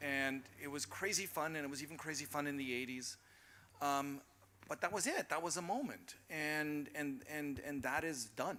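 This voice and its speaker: A man talks in a fairly high voice with an American accent. His tone is bright and sharp. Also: ordinary pitch variation, moderate pace. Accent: very American. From Berlin (Charlottenburg). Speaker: panelist. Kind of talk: panel discussion. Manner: animated.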